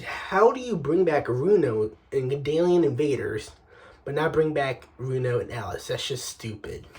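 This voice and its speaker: A man's put-on character voice, raspy and fairly high in pitch, at a moderate pace. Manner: annoyed, complaining.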